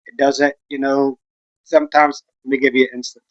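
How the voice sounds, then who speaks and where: A man with a Texan accent talks at a moderate pace. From West Texas. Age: 40s. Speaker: vlogger. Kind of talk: casual chat.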